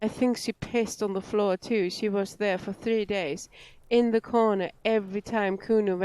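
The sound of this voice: Fairly even intonation marks an unforced reading voice.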